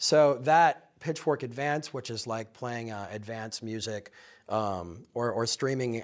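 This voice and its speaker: A man talks in a plain, everyday voice with an American accent. His pitch is medium, with ordinary variation. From US Midwest, Minnesota. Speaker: music publication founder. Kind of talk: interview.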